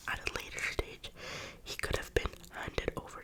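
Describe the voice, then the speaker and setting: The voice is a whisper. Noticeable background noise sits behind it. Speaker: ASMR creator. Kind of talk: ASMR book reading. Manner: whispered.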